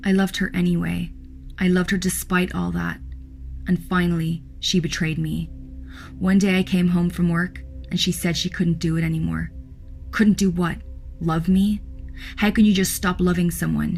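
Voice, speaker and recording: Over music in the background, a woman speaks at a moderate pace with long, frequent pauses. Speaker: horror story narrator. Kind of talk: horror story narration.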